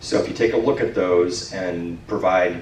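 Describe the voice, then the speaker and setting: Noticeable background noise runs through the clip. Audible room echo can be heard as well. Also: man. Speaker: city planning official. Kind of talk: public meeting Q&A. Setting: community meeting with handheld mic. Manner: loud.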